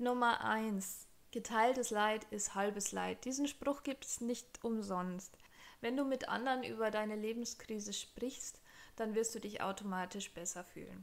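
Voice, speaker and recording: Intonation stays fairly even for this woman. She talks at a fairly slow pace. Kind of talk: advice vlog talk. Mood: warm, encouraging. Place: home room. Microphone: studio mic.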